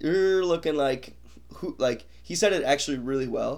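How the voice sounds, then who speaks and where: With lively intonation, a man speaks in an ordinary speaking voice at a fairly high pitch. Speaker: podcast host. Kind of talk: casual sports chat.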